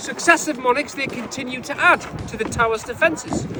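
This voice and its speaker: A man's raised, projected voice in a Geordie accent, animated in tone and fairly quick, with ordinary pitch variation over noticeable background noise. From northeast England, Newcastle. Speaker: tour guide. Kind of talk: guided tour.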